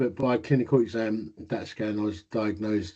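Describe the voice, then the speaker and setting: This man has a fairly low pitch and a dark, mellow tone, speaking at a moderate pace in an Essex accent with ordinary pitch variation. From Essex, England. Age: 50s. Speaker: inventor with Parkinson's. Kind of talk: interview. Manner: slight slurring, voice may soften.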